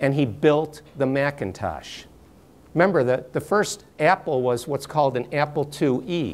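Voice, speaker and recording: A man with an American accent speaks at a fairly slow pace in a fairly high pitch, his pitch varying an ordinary amount. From New York. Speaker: workshop presenter. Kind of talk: lecture. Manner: too quiet.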